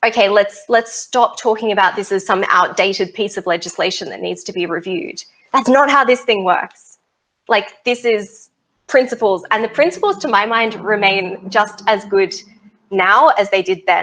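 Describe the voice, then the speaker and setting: With an Australian accent, a woman speaks in an animated tone at a medium pitch. Her pace is moderate, and her pitch varies in an ordinary way. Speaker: space law researcher. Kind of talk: interview.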